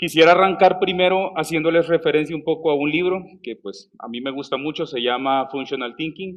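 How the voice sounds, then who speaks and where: The man talks at a fairly quick pace with a fairly high pitch, ordinary pitch variation and big swings in loudness. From El Salvador. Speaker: software developer, conference speaker. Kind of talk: conference talk. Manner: hesitant, with fillers and restarts.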